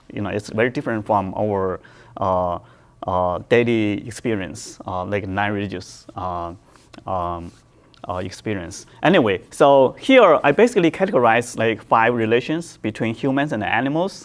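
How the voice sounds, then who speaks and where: A man speaks with a Chinese accent at a moderate pace and medium pitch. His intonation is lively. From China. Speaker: professor. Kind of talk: lecture. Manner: halting, many fillers and repetitions.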